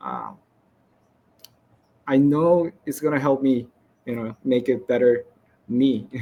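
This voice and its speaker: A man's dark, mellow voice at medium pitch, very slow, with long, frequent pauses, fairly even intonation and a non-native accent. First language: not English. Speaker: game developer. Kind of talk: conference presentation Q&A. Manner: halting.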